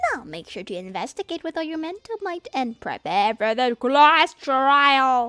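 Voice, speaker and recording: A woman's cartoonish character voice, high in pitch, with faint music in the background. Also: moderate pace, hardly any pauses. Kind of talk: cartoonish character impression. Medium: virtual streamer. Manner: smug, playful.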